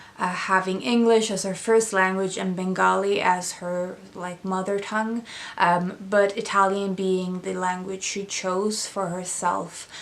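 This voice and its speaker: A woman with a Swedish accent, medium-pitched, fairly slow and flat in a monotone, hardly any pauses, audible room echo. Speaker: book reviewer. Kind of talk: casual book review vlog. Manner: hesitant, many fillers.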